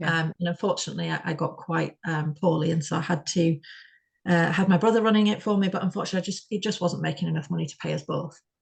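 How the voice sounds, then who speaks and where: Talking at a very fast pace with a West Yorkshire accent, a woman uses a fairly low pitch, fairly even intonation and noticeable vocal fry. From Bradford, UK. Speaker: spoken word performance artist. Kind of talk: interview answer.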